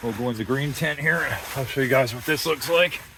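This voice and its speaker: Noticeable background noise is present in this clip. The speaker is a man with a medium-pitched voice. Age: 60s. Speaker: outdoor gear reviewer. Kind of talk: product walkthrough review. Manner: casual, conversational.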